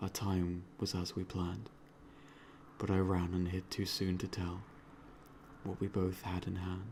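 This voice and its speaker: A man with a British accent speaks at a fairly slow pace in a very deep, low pitch. His voice is somewhat breathy. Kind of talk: poetry reading. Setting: traffic noise in background.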